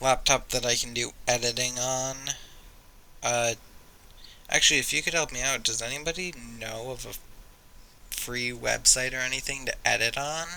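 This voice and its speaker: A man speaks at a medium pitch in a bright, sharp tone with fairly even intonation. His pace is moderate, with long, frequent pauses. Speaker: YouTuber. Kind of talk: casual vlog monologue. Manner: stuttering; halting, many fillers.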